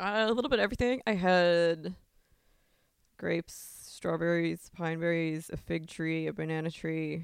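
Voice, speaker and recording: A woman speaks with an American accent, her pitch fairly low for a woman. She has an ordinary speaking voice, moving at a moderate pace with ordinary pitch variation. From Long Island, New York. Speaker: adult performer. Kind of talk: casual chat. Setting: in a house in upstate New York.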